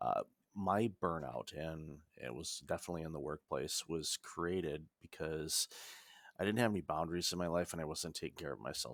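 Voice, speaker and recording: A man talks at a moderate pace in a very deep, low pitch with vocal fry and ordinary pitch variation. The recording is very clean, with a silent background. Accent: American. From United States. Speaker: business consultant and author. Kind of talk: podcast interview.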